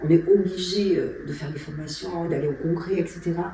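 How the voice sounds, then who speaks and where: A woman speaks with a fairly low pitch and ordinary pitch variation. Audible room echo and noticeable background noise surround her voice. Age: 60s. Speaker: endocrinologist. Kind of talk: interview. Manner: hesitant, many fillers.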